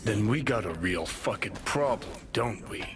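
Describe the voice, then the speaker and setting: Using a put-on character voice, a man speaks at a medium pitch and a moderate pace. Clear background noise runs underneath. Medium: video game. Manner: sardonic, brash.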